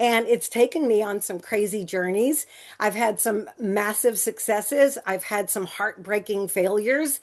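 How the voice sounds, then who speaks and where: Over a quiet background, a woman with a normal speaking voice talks at a fairly slow pace with ordinary pitch variation. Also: fairly high pitch for a woman. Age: 60s. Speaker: entrepreneur, sales presenter. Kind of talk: sales pitch. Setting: group call. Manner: conversational with fillers.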